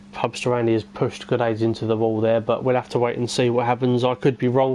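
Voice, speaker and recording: A man with a Cockney accent talks at a medium pitch. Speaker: esports race commentator. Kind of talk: live commentary. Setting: live stream. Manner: casual, hesitant with fillers.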